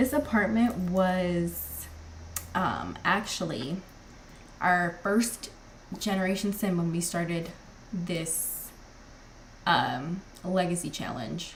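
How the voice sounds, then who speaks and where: In a room with audible echo, a woman with a fairly low pitch speaks with long, frequent pauses. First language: not English. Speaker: gaming streamer. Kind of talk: live gameplay commentary. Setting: live stream. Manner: casual, chatty with fillers.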